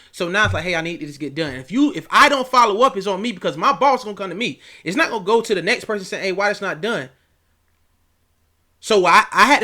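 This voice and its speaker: A raised, projected voice with a bright, sharp, animated tone and lively intonation speaks at a very fast pace on a very clean recording with a silent background. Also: man. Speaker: youth coach and online academy founder. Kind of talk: casual vlog talk.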